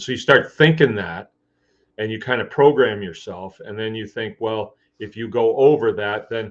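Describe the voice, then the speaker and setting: Speaking at a moderate pace, a man shows ordinary pitch variation and big swings in loudness. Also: medium pitch for a man. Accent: Michigan. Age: 60s. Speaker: farmer and livestream host. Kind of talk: casual live chat. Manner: conversational, rambling pace with fillers.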